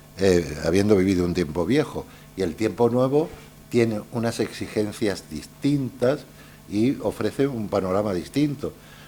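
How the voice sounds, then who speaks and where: Using lively intonation, a man speaks at a fairly slow pace with a fairly low pitch and a dark, mellow tone. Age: 70s. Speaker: journalist and writer. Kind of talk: Q&A after a lecture. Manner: hesitant, many fillers.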